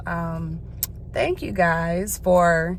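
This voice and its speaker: A woman with an American accent, with audible room echo. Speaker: vlogger. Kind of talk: casual vlog talk. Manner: casual, filler-heavy.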